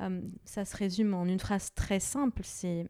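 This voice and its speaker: In a very clean recording with a silent background, a woman has an ordinary speaking voice at medium pitch, the sound dry and close with no echo. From Lebanon. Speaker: image and identity coach, entrepreneur. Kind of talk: interview.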